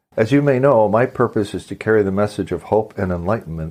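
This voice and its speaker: A normal speaking voice with ordinary pitch variation, heard against a quiet background. The pace is fairly quick. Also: man. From Canada. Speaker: podcast host. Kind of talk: podcast interview.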